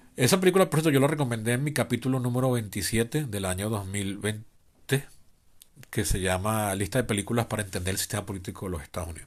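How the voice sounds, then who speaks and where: Over a silent background in a very clean recording, a man talks very fast at a fairly low pitch with lively intonation. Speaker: podcast host. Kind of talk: improvised solo podcast monologue.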